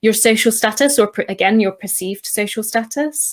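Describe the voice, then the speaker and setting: She speaks with a British accent, fairly high in pitch. Her pitch variation is ordinary for a woman's voice. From UK. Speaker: UX researcher and designer. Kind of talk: recorded conference talk. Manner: hesitant, many fillers.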